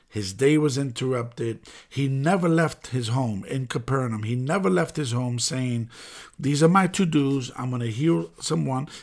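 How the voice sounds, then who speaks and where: A man with an American accent has a plain, everyday voice, medium in pitch with ordinary pitch variation, at a moderate pace. The recording is very clean, with a silent background. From New York City (the Bronx). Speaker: pastor. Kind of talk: sermon-style podcast monologue.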